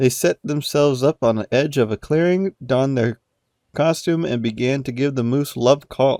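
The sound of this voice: Heard over a quiet background, an unforced reading voice shows ordinary pitch variation.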